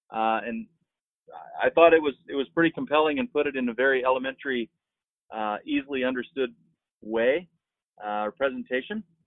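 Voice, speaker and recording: At a fairly quick pace, a man with a medium pitch and ordinary pitch variation speaks, leaving long, frequent pauses. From Marshall Islands, then US from 15. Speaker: business founder. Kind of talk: casual interview.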